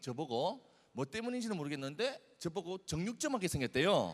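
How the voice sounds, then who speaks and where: A man speaks with a high pitch, his voice swinging very widely up and down. His tone is animated, with a Busan accent. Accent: Busan dialect (Gyeongsang). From South Korea, Busan. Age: 20s. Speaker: youth speaker. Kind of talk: sermon.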